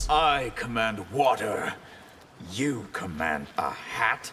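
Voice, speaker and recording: A man growls in a put-on character voice at a medium pitch and a very slow pace. Background noise is clear. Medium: video game.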